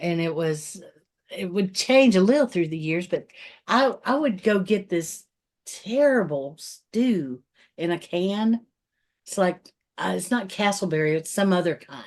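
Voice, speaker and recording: A woman talks in an unremarkable speaking voice at a medium pitch. Her intonation is lively and her pace fairly slow. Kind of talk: casual podcast conversation.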